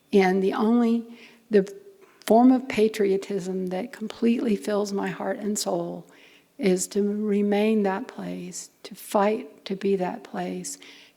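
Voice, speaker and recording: Over noticeable background noise, a woman speaks at a very slow pace with fairly even intonation and big swings in loudness. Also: medium pitch for a woman. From Louisiana Cajun. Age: 70s. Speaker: university president and lecturer. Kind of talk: public lecture.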